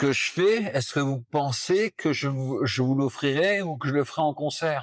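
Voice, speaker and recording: A man speaks at a fairly slow pace and a fairly high pitch. He has an unremarkable speaking voice. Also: ordinary pitch variation. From Brittany, France. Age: 60s. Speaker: poet and singer-songwriter. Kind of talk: interview answer.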